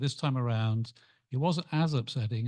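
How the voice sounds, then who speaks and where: A man talks at a fairly quick pace with medium pitch and ordinary pitch variation. The background is quiet. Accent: English. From England. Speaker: club member. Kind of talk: group discussion.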